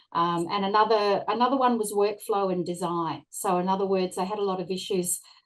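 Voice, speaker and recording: With an Australian accent, a woman speaks at a medium pitch and a fairly quick pace, with fairly even intonation and hardly any pauses. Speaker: workplace wellbeing consultant. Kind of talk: panel discussion. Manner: hesitant, many fillers.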